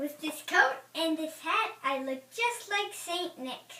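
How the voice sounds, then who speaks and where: A squeaky put-on character voice at extremely high pitch, fairly slow, with a slight echo. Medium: stage play. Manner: scheming, mischievous.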